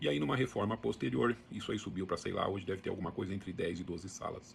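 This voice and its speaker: Very deep, low male voice with vocal fry, lively intonation, fairly quick pace. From Brazil, interior of São Paulo state (Sertãozinho). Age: 60s. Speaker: book channel host. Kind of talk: casual monologue. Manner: conversational, with some hesitations.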